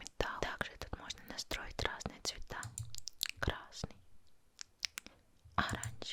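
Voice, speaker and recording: A woman's whispering with long, frequent pauses over noticeable background noise. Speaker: ASMR creator. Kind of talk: ASMR microphone review. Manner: soft-spoken.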